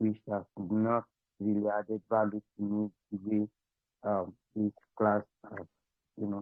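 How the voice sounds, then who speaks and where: A man talks quietly at a moderate pace. His fairly low voice stays monotone and flat. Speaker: webinar participant. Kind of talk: casual chat.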